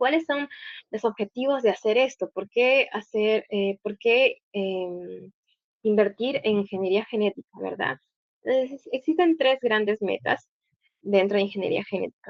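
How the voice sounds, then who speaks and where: A woman's fairly high voice, an unremarkable speaking voice, fairly slow, with ordinary pitch variation. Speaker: guest lecturer, doctoral student. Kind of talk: lecture.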